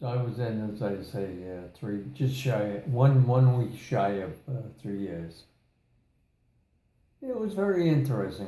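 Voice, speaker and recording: Somewhat breathy and dark, mellow in tone, a man at medium pitch speaks at a fairly slow pace with lively intonation, long, frequent pauses and audible room echo. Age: 90s. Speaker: war veteran. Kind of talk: casual chat. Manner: halting.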